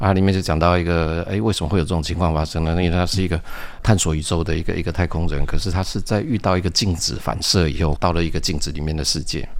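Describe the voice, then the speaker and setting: Very fast speech comes from a man with a very deep, low voice and fairly even intonation. Audible room echo is present. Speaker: science fiction writer and engineer. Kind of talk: interview.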